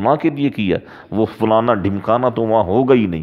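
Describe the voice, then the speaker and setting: A man with an unremarkable speaking voice talks at a fairly slow pace and a fairly low pitch, with ordinary pitch variation, against a quiet background. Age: 40s. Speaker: Islamic preacher. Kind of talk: sermon. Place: home room. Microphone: headset.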